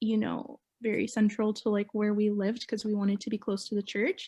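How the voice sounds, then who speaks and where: A woman speaks with a Canadian accent in a somewhat breathy voice. Her intonation is monotone and flat, and the recording is very clean with a silent background. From Mississauga, Ontario, Canada. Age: 20s. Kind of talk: oral history interview answer.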